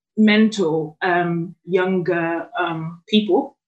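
A woman's intonation stays fairly even as she talks. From Burundi, moved to England around age 11. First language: not English. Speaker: chambers staff member, interviewer. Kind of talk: casual interview.

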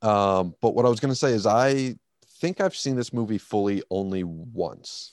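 A man speaks at a moderate pace with a medium pitch and lively intonation. The sound is dry and close with no echo, over a quiet background. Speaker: movie podcast co-host. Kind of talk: casual chat. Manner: loud.

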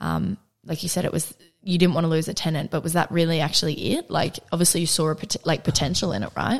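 Fairly even intonation in an ordinary speaking voice. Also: woman. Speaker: podcast host. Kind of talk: casual interview chat.

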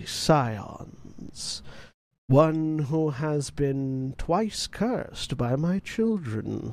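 Someone puts on a character voice. The delivery is very slow. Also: man. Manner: ominous, commanding.

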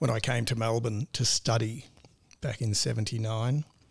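A somewhat breathy man with an Australian accent and fairly even intonation, on a very clean recording with a silent background. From rural northern Victoria, Australia. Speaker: cybersecurity business owner. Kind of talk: interview.

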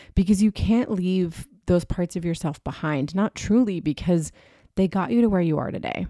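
At a moderate pace, a woman speaks with a fairly low pitch, a dark, mellow tone and ordinary pitch variation on a very clean recording with a silent background. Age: 30s. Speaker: podcast host, personal healing coach. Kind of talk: personal storytelling monologue. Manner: casual, laughing at times.

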